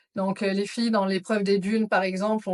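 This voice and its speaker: Monotone, flat speech from a woman at a medium pitch and a fairly quick pace. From France, Auvergne (Clermont-Ferrand). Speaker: psychiatric nurse, trek participant. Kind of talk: interview.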